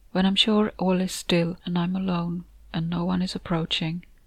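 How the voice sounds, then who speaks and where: A woman's somewhat breathy, fairly low voice, monotone and flat, at a moderate pace. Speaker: author and narrator of the story. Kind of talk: horror short story narration, first-person reading aloud. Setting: home recording, noisy neighbor music in background.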